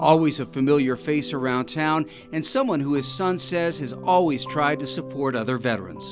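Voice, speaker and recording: With music in the background, a man with a fairly high pitch speaks at a moderate pace with lively intonation. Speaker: TV reporter. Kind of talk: TV news narration.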